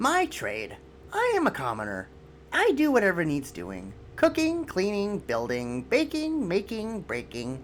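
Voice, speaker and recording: Clear background noise runs beneath a put-on character voice delivered at a moderate pace. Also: man, high pitch for a man. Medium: solo performance.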